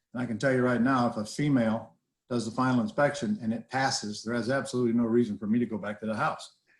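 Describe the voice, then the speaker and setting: A man at a very fast pace, medium in pitch, with fairly even intonation. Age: 70s. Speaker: real estate investing educator. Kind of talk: interview talk. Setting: video call. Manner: casual.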